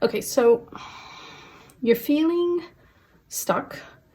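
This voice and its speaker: A soft-spoken woman with lively intonation is heard on a very clean recording with a silent background. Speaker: tarot reader. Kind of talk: tarot reading to camera. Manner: casual with fillers; quiet, soft-spoken.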